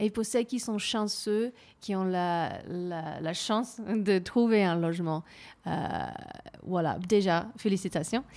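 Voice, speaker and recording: A woman speaks at a very slow pace, leaving long, frequent pauses. Her pitch variation is ordinary, and the recording is very clean with a silent background. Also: medium pitch for a woman. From New Zealand. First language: English (speaking French). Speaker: community radio host. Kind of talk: interview.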